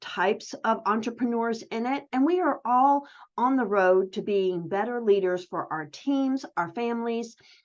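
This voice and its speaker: A woman speaks in an ordinary speaking voice with lively intonation over a quiet background. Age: 60s. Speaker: online community host for home business owners. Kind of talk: casual solo livestream chat. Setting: virtual livestream. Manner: conversational, with many fillers.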